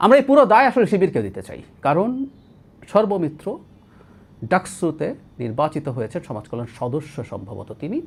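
Vocal fry runs through a voice with very wide pitch swings and big swings in loudness. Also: man, fairly high pitch for a man. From Bangladesh, Rangamati district. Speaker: political commentator. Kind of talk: political commentary monologue.

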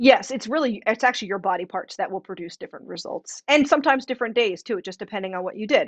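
Against a quiet background, a woman talks at a very fast pace with lively intonation. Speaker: massage therapist and wellness manager. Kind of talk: casual chat. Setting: video call. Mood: friendly, upbeat. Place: home room. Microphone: webcam.

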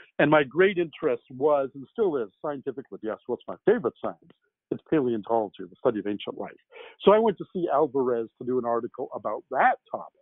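Against a quiet background, a man with a Canadian accent speaks very fast in a fairly high voice, with very wide pitch swings, big swings in loudness and a dry sound with no echo. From Canada. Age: 60s. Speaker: science fiction novelist; guest. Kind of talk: interview. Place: home room.

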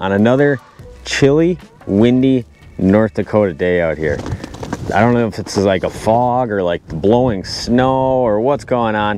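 With faint music in the background, a man speaks at a fairly slow pace with long, frequent pauses in a dry sound with no echo. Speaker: fishing vlogger. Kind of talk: casual vlog chat. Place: open country. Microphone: lapel.

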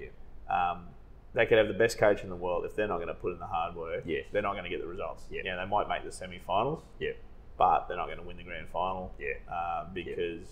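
A man with an Australian accent. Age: 40s. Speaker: financial adviser. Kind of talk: casual chat. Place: meeting room. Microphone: lapel.

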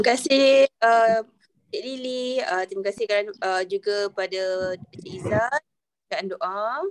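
Fairly slow speech with ordinary pitch variation, big swings in loudness and a quiet background. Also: woman. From Malaysia. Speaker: workshop organiser, lecturer. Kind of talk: welcoming speech. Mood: polite, grateful. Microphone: video call.

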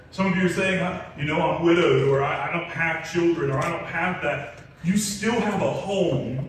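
A man with lively intonation at a moderate pace, with strong room echo and light background noise. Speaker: pastor. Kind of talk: sermon. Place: church.

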